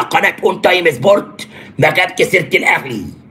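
A man is speaking. Music plays in the background. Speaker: sports commentator on a live stream. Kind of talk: commentary. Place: home room. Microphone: phone near.

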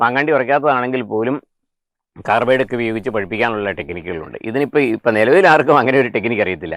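Medium pitch and lively intonation from a man with an unremarkable speaking voice, dry with no echo, over a quiet background. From Kerala. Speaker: retired headmaster and farmer. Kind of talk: interview. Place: garden. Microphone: lapel.

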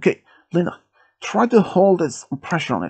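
A man's put-on character voice, high-pitched and slightly mellow with a slightly husky edge, at a moderate pace with very wide pitch swings

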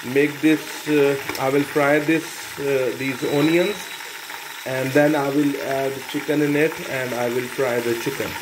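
The speech moves at a fairly slow pace with long, frequent pauses. Noticeable background noise can be heard. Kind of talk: cooking tutorial narration. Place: kitchen. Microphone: phone near.

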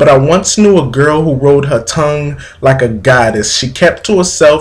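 At a moderate pace, a man speaks in a fairly high, somewhat breathy voice. His pitch variation is ordinary. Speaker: spoken word poet. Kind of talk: poetry reading. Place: home room. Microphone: webcam.

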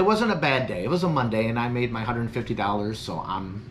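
Light background noise sits behind a man speaking with a fairly low pitch. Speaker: gig delivery driver vlogger. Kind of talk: casual vlog chat. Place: home room. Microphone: phone near.

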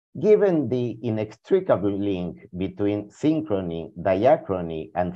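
A man with a Spanish accent speaks at a fairly slow pace in a fairly low pitch, with very wide pitch swings. The background is quiet. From Argentina. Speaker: philosopher and historian of science; presenter. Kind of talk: reading prepared talk. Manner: formal.

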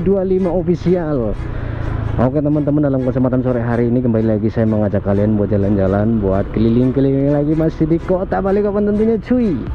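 Over faint music in the background, a man speaks at a very fast pace, the sound dry with no echo. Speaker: motovlogger. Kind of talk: casual vlog chat. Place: motorbike.

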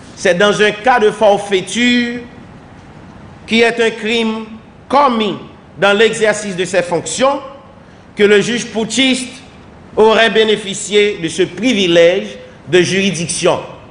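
A man's high-pitched voice, very slow, with long and frequent pauses, fairly even intonation, and audible room echo. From Haiti. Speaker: government minister. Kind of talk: official statement. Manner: formal. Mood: formal, measured. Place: office. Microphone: podium.

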